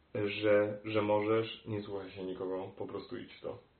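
Audible room echo surrounds a man whose pace is very slow. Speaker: opera singer. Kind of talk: interview. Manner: halting.

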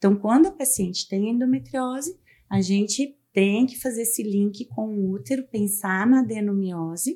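A woman speaks at a moderate pace in a dark, mellow tone that is somewhat breathy. The recording is very clean with a silent background. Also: medium pitch for a woman, lively intonation. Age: 40s. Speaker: gynecologist. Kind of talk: medical interview, explaining. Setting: studio.

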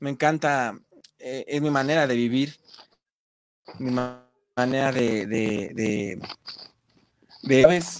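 Very slowly, with long, frequent pauses, a man speaks at a medium pitch with ordinary pitch variation. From Mexico, State of Mexico (Ecatepec). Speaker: rock musician. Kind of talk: casual interview. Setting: online live stream. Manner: halting, repeats words.

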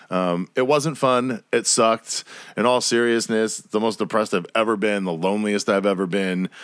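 Recorded very cleanly against a silent background, a man with a fairly low pitch and ordinary pitch variation sounds dry and close with no echo. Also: moderate pace. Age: 30s. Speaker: solo podcast host. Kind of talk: casual monologue. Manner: animated.

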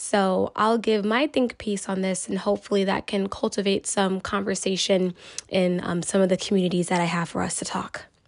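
This woman has a normal speaking voice at a medium pitch. She talks at a moderate pace with fairly even intonation and hardly any pauses. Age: 20s. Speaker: podcast host, social worker. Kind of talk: solo opinion podcast.

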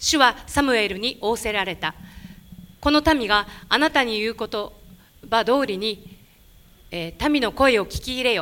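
Pausing long and often, a woman speaks at a fairly slow pace and fairly high pitch with ordinary pitch variation. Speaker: interpreter. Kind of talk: sermon interpreting. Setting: church. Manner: animated.

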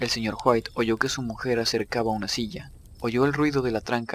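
The speaker reads in an unforced voice, and the intonation stays fairly even.

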